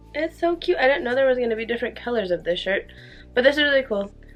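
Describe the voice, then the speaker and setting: Music plays in the background as a woman talks in an upbeat, excited tone at a high pitch with very wide pitch swings. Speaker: makeup and beauty vlogger. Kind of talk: casual talk to camera.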